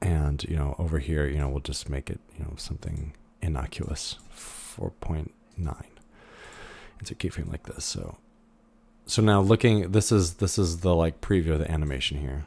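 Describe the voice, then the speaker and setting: In a very clean recording with a silent background, a man with a very deep, low pitch and a dark, mellow, somewhat breathy tone speaks at a moderate pace with ordinary pitch variation. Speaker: 3D animation instructor. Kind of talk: recorded lecture tutorial. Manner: casual, hesitant with many fillers.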